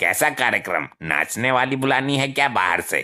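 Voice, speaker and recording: A cartoonish character voice with lively intonation at a moderate pace. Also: man, medium pitch for a man. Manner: blundering, gossipy.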